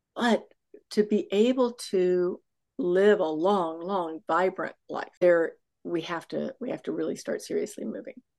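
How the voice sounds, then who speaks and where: This woman has an American accent and a medium pitch. She talks at a fairly slow pace with ordinary pitch variation. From Texas. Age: 60s. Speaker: fitness coach and author. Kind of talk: casual chat. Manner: animated.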